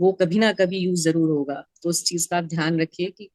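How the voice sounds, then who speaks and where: A woman's fairly low-pitched, plain, everyday voice with fairly even intonation and a dry, close sound with no echo. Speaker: mindset coach. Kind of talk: talk show host interview questions.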